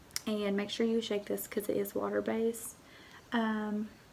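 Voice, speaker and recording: A woman speaks over noticeable background noise. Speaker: beauty vlogger. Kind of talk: makeup tutorial. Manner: casual, chatty.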